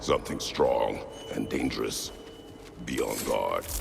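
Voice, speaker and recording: Against clear background noise, a man does a cartoonish character voice at a fairly slow pace. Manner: terse, gruff.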